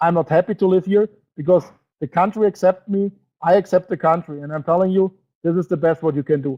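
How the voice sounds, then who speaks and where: A man's high-pitched voice with a German accent and a dark, mellow tone, dry and close with no echo, over a quiet background. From Germany. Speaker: network marketing presenter. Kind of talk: sales webinar presentation. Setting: online webinar broadcast. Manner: halting, with many fillers; emotional.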